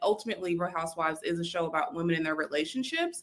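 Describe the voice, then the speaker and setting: A bright, sharp tone in a slight Southern US accent, with ordinary pitch variation. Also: woman. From US South, South Carolina. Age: 30s. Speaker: content creator. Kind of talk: casual chat.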